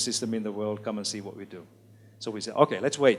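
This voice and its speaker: A man speaks fairly quickly, his medium-pitched voice holding a fairly even intonation. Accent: Finnish. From Finland. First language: Finnish. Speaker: education expert, author. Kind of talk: lecture.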